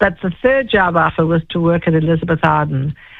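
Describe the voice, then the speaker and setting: A woman with a South African accent, very deep and low in pitch, with ordinary pitch variation and a fairly quick pace. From South Africa (Johannesburg). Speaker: fragrance expert and entrepreneur. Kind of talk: interview storytelling.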